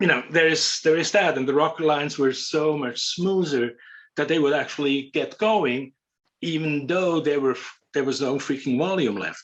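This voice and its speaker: A man with a plain, everyday voice speaks at a moderate pace, his pitch fairly high. His pitch varies in an ordinary way over a quiet background. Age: 60s. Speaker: windsurf board shaper. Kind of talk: casual interview chat.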